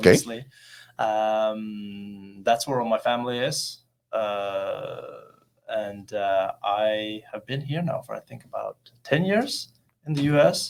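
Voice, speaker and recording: A man with a Norwegian accent speaks at a very slow pace, his loudness swinging widely, with music in the background. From Norway, rural Oppdal. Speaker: actor and model. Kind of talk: interview.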